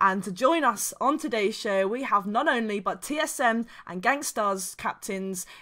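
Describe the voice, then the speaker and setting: A woman with a British accent speaks at a moderate pace in a bright, sharp tone with lively intonation, in a very clean recording with a silent background. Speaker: esports show host. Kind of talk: podcast hosting.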